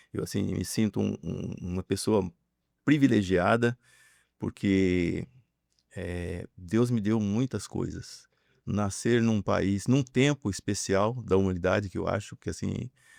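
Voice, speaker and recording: A man's fairly low voice at a very slow pace, with ordinary pitch variation, dry and close with no echo, on a very clean recording with a silent background. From interior of São Paulo state, Brazil. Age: 60s. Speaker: businessman. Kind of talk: interview testimony. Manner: halting, many fillers.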